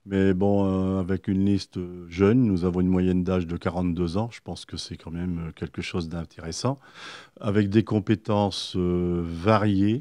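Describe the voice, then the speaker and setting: A man with a very deep, low voice and a dark, mellow tone speaks at a fairly slow pace with fairly even intonation and big swings in loudness. The sound is dry and close, with no echo and a quiet background. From northern France (Pas-de-Calais, Arques). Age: 60s. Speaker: local election candidate. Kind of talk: radio interview. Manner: hesitant, with many fillers.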